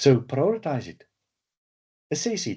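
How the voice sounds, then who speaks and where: With an animated tone and a somewhat breathy voice, a man speaks at a moderate pace and a fairly high pitch. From South Africa. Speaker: management systems trainer. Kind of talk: webinar lecture. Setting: webinar. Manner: animated, with repetitions and fillers.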